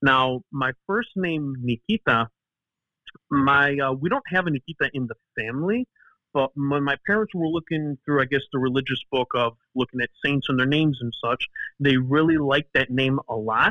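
A man with a Chicago accent, fairly high-pitched, at a moderate pace and with ordinary pitch variation. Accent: Chicago American. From Chicago, US. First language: Greek. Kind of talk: casual interview chat. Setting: phone call.

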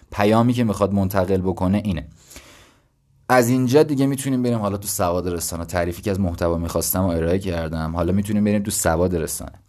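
Very fast and fairly low-pitched, a man speaks with ordinary pitch variation. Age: 20s. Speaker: podcast host. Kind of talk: solo educational monologue. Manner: casual.

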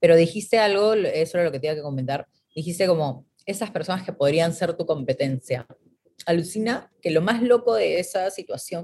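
Somewhat breathy and fairly low in pitch, a woman with a dark, mellow tone uses lively intonation at a moderate pace. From Peru. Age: 30s. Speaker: creative entrepreneur. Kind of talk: casual chat.

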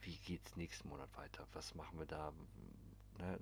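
With vocal fry, a man speaks at a moderate pace. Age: 30s. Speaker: podcast host. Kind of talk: casual monologue. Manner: animated.

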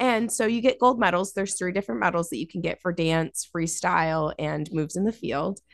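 With an American accent and vocal fry, the speaker talks at a fairly quick pace with lively intonation and hardly any pauses against a quiet background. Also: woman, fairly low pitch for a woman. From US Northeast, Massachusetts Berkshires (Dalton). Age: 20s. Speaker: cannabis photographer and marketer. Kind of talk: interview conversation.

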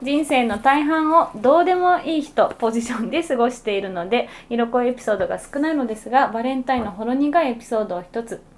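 Over noticeable background noise, a woman with a high pitch talks at a fairly quick pace with hardly any pauses, lively intonation and big swings in loudness. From Tokyo, Setagaya. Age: 30s. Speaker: podcast producer and co-host. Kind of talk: casual chat.

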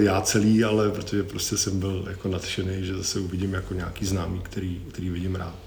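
The speech moves at a fairly quick pace with hardly any pauses. Room echo is audible. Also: man. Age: 40s. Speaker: sensory marketer and musician, former roadie. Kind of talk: casual interview chat.

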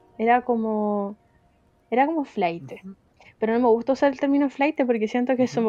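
The speaker has a Chilean accent. The pace is fairly quick. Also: woman. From Chile, Viña del Mar. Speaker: podcast co-host. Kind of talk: casual chat.

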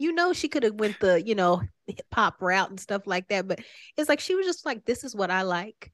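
With an American accent, a woman at medium pitch talks at a fairly quick pace with very wide pitch swings, the sound dry and close with no echo. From Oklahoma, Tulsa. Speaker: singer-songwriter. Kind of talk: casual interview. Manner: laughs often.

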